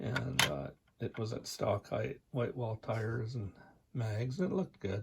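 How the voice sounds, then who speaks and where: At a moderate pace, the speaker talks quietly in a somewhat breathy voice. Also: man. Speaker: scale model builder. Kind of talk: casual show-and-tell. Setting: home, basement suite, on couch. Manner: quiet, restrained volume.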